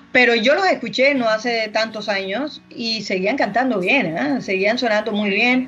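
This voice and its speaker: Speaking fairly slowly, a woman can be heard over noticeable background noise. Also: fairly high pitch for a woman, ordinary pitch variation, hardly any pauses. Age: 50s. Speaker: podcast co-host. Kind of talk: casual chat.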